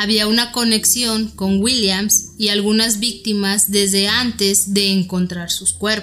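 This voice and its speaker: Over music in the background, a woman speaks at a very slow pace. Her intonation is monotone and flat, and her loudness stays very even. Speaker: podcast host. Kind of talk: true-crime narration. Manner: steady, even, documentary-style delivery.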